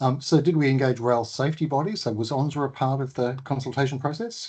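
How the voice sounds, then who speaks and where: With an Australian accent, a man speaks very fast in a fairly high, somewhat breathy voice with ordinary pitch variation. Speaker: transport agency CEO hosting webinar. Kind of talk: webinar Q&A.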